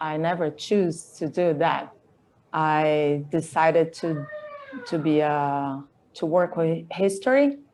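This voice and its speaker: A woman with a Brazilian Portuguese accent and a fairly low pitch. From Brazil, Campinas, São Paulo State. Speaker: artist and illustrator. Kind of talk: interview. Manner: halting.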